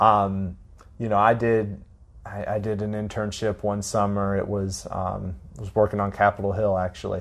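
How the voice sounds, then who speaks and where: The speaker has an American accent and monotone, flat intonation. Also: man, fairly low pitch for a man, moderate pace. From Florida (Tallahassee). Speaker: sociology lecturer. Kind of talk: interview.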